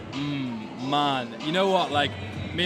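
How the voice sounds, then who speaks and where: Noticeable background noise and audible room echo surround a man speaking at a medium pitch with a Yorkshire accent. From Yorkshire, near Leeds. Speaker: sneaker podcast host. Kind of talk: casual event interview. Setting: live sneaker event.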